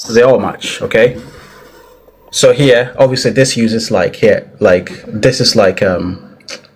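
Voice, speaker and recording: A man talks fairly unhurriedly while background noise is clearly heard. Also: medium pitch for a man, ordinary pitch variation. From Italy. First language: Italian. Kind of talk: live debate. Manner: halting.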